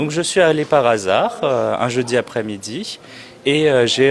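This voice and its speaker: A man's medium-pitched voice with ordinary pitch variation at a moderate pace, over noticeable background noise. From France (Châteauroux, central France). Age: 20s. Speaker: immigration lawyer. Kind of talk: interview. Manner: hesitant, many fillers.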